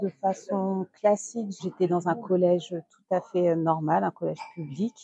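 A woman speaks at a very slow pace with a dark, mellow tone and ordinary pitch variation. The sound is dry and close, with no echo. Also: hardly any pauses. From Guadeloupe. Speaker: entrepreneur. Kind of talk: interview.

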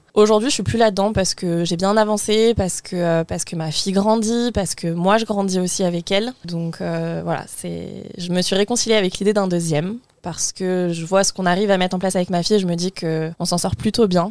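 A woman's ordinary speaking voice at medium pitch, fairly quick in pace, with fairly even intonation. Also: hardly any pauses. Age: 20s. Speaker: mother, guest. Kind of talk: casual chat.

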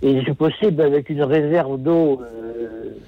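At a very slow pace, a man speaks at a fairly high pitch with a dark, mellow tone. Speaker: caller. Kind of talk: phone-in testimony. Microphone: poor phone line.

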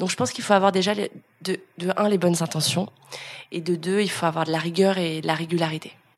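A woman talks at a very fast pace with a fairly low pitch and fairly even intonation. Noticeable background noise is present. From France, Lyon. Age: 30s. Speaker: influencer and content creator. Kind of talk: interview. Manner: casual, hesitant with many fillers.

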